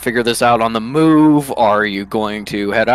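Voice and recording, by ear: The voice is natural. It is reading aloud.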